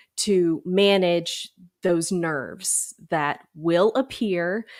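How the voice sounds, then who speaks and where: The recording of this woman is very clean, and the background is completely silent. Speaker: podcast host, speech teacher. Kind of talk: podcast interview.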